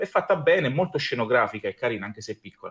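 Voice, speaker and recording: A man at a very fast pace, somewhat breathy, with lively intonation. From Abruzzo, Italy. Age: 30s. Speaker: pastry chef and fantasy event creator. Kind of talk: podcast interview.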